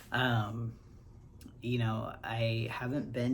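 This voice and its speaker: A man with a medium-pitched, somewhat breathy voice talks at a very slow pace in a monotone, flat delivery, with audible room echo around him. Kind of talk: casual personal vlog. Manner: hesitant, many fillers.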